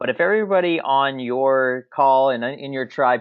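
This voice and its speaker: This man has an ordinary speaking voice at a medium pitch. His intonation is lively. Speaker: marketing trainer. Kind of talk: webinar presentation.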